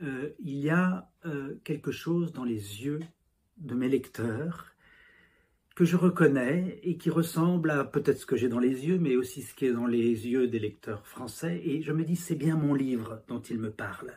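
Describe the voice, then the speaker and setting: Fairly slow and somewhat breathy, a man talks at a fairly high pitch with ordinary pitch variation. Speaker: novelist. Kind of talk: interview monologue. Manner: halting, many fillers and repetitions.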